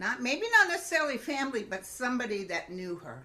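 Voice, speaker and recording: A woman's pitch swings very widely. Noticeable background noise runs underneath. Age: 70s. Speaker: psychic medium. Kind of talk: casual chat.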